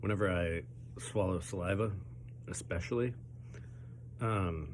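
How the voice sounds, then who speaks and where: The voice swings very widely in pitch and shows vocal fry. It moves at a fairly slow pace with audible room echo. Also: man, very deep, low pitch for a man. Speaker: pepper-eating challenge youtuber. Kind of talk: casual vlog commentary while eating. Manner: halting with many fillers.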